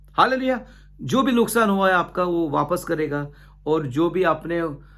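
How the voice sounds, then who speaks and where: A man's voice is heard with audible room echo. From India, Goa. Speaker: pastor. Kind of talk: sermon. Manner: halting, frequent fillers and restarts.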